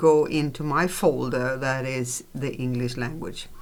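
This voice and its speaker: A woman's very deep, low voice in a Swedish accent, at a very slow pace with fairly even intonation, amid audible room echo and noticeable background noise. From Sweden. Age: old. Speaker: podcast co-host. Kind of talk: casual chat. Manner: halting.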